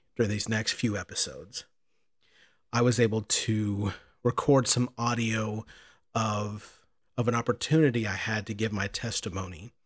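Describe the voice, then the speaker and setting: A man's somewhat breathy, medium-pitched voice with an American accent, at a moderate pace with fairly even intonation and long, frequent pauses, in a very clean recording with a silent background. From Southern Illinois. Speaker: podcast host in addiction recovery. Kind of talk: personal testimony; scripted narration.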